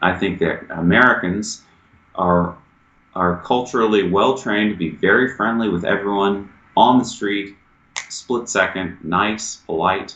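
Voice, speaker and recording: Pitch shifts in an ordinary manner. The talking goes along fairly slowly. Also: man, fairly low pitch for a man. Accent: Southern US. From US South. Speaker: American expat, businessman. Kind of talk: interview. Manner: casual, conversational.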